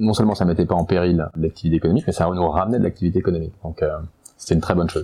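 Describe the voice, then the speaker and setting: A man is speaking. His voice is very deep and low. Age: 40s. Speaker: entrepreneur. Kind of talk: testimony. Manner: halting.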